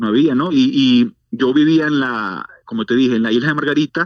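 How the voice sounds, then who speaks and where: In a normal speaking voice, a man of medium pitch talks at a moderate pace, the sound dry and close with no echo. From Venezuela. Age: 40s. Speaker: church outreach director. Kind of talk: testimony.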